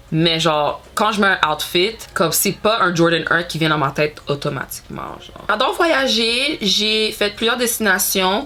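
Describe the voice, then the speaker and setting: The speech comes at a fairly slow pace with ordinary pitch variation. Noticeable background noise can be heard. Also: woman. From Montreal, Quebec. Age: 30s. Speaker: beauty youtuber. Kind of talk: casual vlog chat. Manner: hesitant, many fillers and code-switches.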